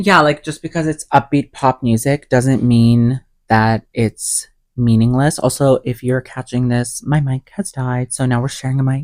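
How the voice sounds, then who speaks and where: On a very clean recording with a silent background and a dry, close sound with no echo, a man speaks at a moderate pace in a medium pitch with fairly even intonation. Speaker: podcast co-host. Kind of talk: casual chat. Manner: loud.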